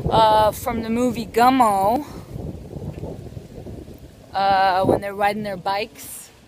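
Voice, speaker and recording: The voice has fairly even intonation, recorded dry with no echo over noticeable background noise. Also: woman. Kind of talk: casual vlog chat. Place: bicycle. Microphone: phone near.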